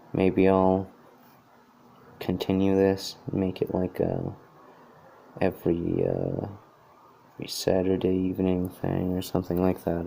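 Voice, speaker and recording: Mumbling at a fairly slow pace with long, frequent pauses, a man talks in a very deep, low pitch with a dark, mellow tone and monotone, flat intonation. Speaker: artist drawing a hat design. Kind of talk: live tutorial commentary while drawing. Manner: halting, many fillers.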